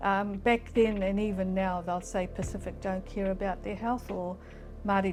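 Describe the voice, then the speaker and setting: Over music in the background, a woman speaks with monotone, flat intonation. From New Zealand, Auckland. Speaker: health services leader. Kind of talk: interview answer.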